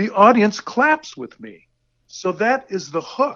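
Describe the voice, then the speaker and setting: Raising and projecting his voice, a man speaks in a bright, sharp tone with very wide pitch swings. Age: 60s. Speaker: rock drummer. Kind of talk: casual interview. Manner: halting, repeats words.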